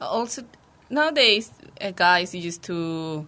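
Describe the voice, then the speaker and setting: A woman's fairly low, bright and sharp voice in a Spanish accent, very slow with lively intonation. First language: Spanish (speaking Korean). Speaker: exchange student. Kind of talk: casual chat. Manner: halting.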